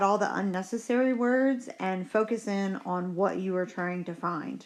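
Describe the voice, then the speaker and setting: A woman speaks fairly slowly in an ordinary speaking voice, her pitch varying in an ordinary way. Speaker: chemistry teacher. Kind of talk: tutorial. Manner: casual, upbeat.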